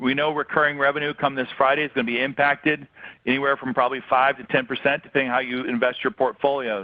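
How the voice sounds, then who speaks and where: Very fast speech comes from a man. His pitch is fairly high. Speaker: business coach for financial advisors. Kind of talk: webinar talk to advisors. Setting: webinar call. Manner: many fillers and restarts.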